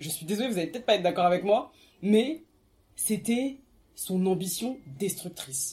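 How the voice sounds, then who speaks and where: A woman speaks at a medium pitch and moderate pace with a dark, mellow, somewhat breathy tone. Her pitch swings very widely and her loudness changes a lot, with long, frequent pauses. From France, Seine-Saint-Denis (93). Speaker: artist and podcaster, book discussion guest. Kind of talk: casual book discussion.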